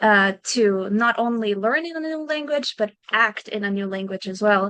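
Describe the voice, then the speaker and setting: Delivered at a moderate pace in a Slovenian accent, the voice has a bright, sharp tone and lively intonation. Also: woman, fairly high pitch for a woman. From Slovenia, small village. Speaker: actor. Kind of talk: interview. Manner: casual, conversational.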